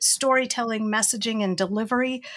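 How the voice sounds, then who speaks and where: This woman, with an Inland North American accent, speaks at a fairly high pitch with ordinary pitch variation. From Western New York. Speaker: educator and trainer. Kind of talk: casual chat.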